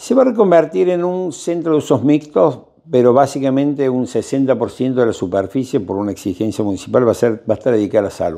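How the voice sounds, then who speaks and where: A man speaks with a dark, mellow tone and lively intonation, hardly pausing. The background is quiet. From Argentina. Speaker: architect. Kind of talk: interview. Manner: halting.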